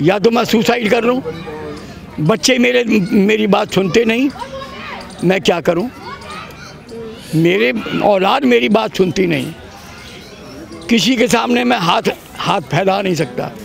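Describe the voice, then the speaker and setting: The voice keeps very even loudness while the pitch swings very widely, broken by long, frequent pauses. Background noise is noticeable. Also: man, high pitch for a man. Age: 70s. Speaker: resident interviewed on the street. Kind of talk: street interview. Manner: animated.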